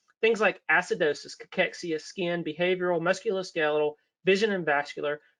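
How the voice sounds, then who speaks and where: Bright and sharp in tone, a man's voice races at a very fast pace with ordinary pitch variation. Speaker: clinical documentation auditor and educator. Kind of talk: webinar presentation.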